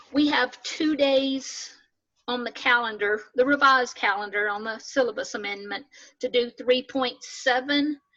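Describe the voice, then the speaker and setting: With a Southern US accent, a woman speaks at a fairly slow pace in a high, bright, sharp tone with fairly even intonation. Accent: US South. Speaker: math instructor. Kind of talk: lecture. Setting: video call.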